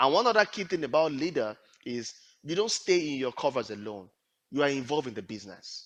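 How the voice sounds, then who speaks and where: A man speaks in a Nigerian accent at a fairly high pitch, with very wide pitch swings. The background is quiet. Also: fairly quick pace. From Nigeria (Yoruba). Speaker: HR / talent acquisition professional and leadership coach. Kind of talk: career advice talk.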